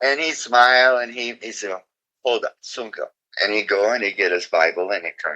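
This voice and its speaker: This man talks at a moderate pace. His pitch is medium, with ordinary variation. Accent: American. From Oklahoma, US. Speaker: reggae singer. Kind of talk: interview storytelling. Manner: animated.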